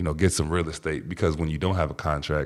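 In a very clean recording with a silent background, a man with an American accent talks very fast in a very deep, low pitch, his monotone, flat intonation edged with vocal fry. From Washington, D.C. area. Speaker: professional football player and entrepreneur. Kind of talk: casual interview chat.

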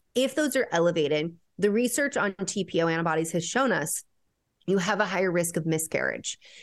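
A woman with an ordinary speaking voice talks at a fairly quick pace with a fairly low pitch and lively intonation. Her loudness stays very even over a quiet background. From Mexican-American family. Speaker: naturopathic endocrinologist. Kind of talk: interview.

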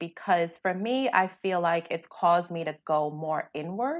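Against a quiet background, a woman uses a normal speaking voice at a fairly slow pace with lively intonation. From New York City, South Bronx. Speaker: skincare business founder. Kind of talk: podcast interview.

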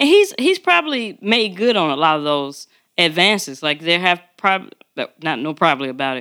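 On a very clean recording with a silent background, a woman speaks at a moderate pace in a fairly low pitch, her bright, sharp tone carried by lively intonation. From Chicago, west side. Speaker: podcast host, military veteran. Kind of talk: casual chat.

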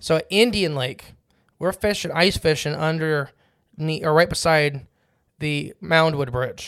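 Heard in a very clean recording over a silent background, a plain, everyday voice moves at a fairly slow pace with ordinary pitch variation. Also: man, fairly high pitch for a man. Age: 20s. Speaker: fishing podcast co-host. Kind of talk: casual chat.

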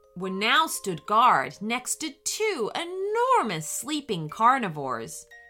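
The passage is delivered in an unforced reading voice.

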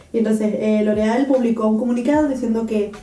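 A woman's voice with audible room echo. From Canary Islands, Spain. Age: 20s. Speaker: podcast co-host, biochemistry student. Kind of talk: casual chat.

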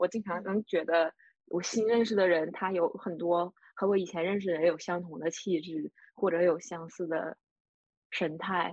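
Woman with a northeastern Chinese accent, fairly low in pitch, at a moderate pace with fairly even intonation. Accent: Northeastern Mandarin, noticeable. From Northeast China. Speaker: podcast co-host, book discussion. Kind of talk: casual book discussion.

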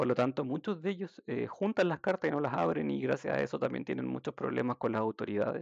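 A man rattles on at a very fast pace with hardly any pauses, the sound dry and close with no echo. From Chile, Santiago. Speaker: healthcare worker, social care worker. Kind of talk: casual interview.

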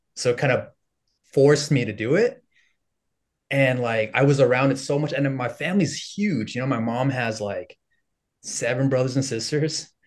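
With an American accent, a man speaks at a moderate pace in a somewhat breathy voice against a quiet background. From Los Angeles area, US (San Fernando Valley). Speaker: content creator and former teacher. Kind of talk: casual interview chat.

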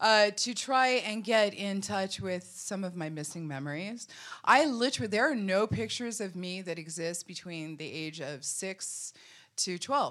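At a moderate pace, a woman speaks at medium pitch with lively intonation and big swings in loudness, captured in a very clean recording with a silent background. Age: 50s. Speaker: psychic medium. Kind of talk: storytelling on stage at a live event. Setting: stage with audience. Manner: occasionally halting, drifting off mid-sentence.

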